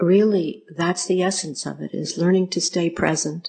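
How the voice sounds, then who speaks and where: The speech has an American accent and fairly even intonation. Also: woman. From United States. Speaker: Buddhist nun and meditation teacher. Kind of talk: dharma talk to an audience.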